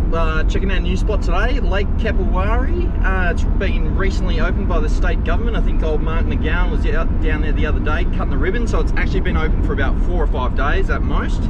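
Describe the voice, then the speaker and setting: Over loud background noise, a man talks at a fairly quick pace with hardly any pauses in a dry sound with no echo. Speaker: fishing vlogger. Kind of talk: casual vlog chat. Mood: relaxed, jokey. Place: car. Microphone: phone near.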